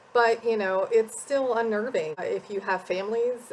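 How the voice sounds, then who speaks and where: A woman talks at a fairly slow pace. Her pitch is fairly high. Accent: Midwestern US. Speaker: academic advisor. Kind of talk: casual chat. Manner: informal, many fillers.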